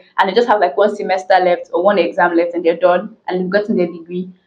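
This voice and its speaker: A woman is speaking. She goes at a very fast pace. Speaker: vlogger. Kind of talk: casual vlog chat. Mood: frustrated but humorous. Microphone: phone near.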